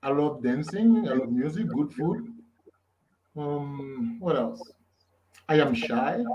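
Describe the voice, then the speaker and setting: In a room with audible echo, a man with a Haitian accent speaks very slowly in a fairly high voice, with very wide pitch swings and long, frequent pauses. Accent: Haitian Creole. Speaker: author and lyricist. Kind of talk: casual interview. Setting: live stream.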